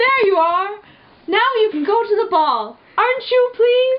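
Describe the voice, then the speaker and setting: A female-sounding voice puts on a squeaky character voice at an extremely high pitch for a woman. The pace is moderate. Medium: read story.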